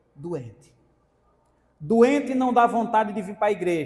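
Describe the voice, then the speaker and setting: This man has a high-pitched voice with lively intonation and talks at a fairly slow pace. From Brazilian sertão (Northeast Brazil interior). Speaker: preacher. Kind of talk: sermon. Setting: church.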